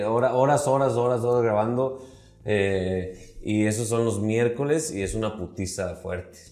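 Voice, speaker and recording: A man speaks at a fairly slow pace in a dark, mellow tone, with audible room echo around him. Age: 30s. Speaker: comedian. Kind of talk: casual chat.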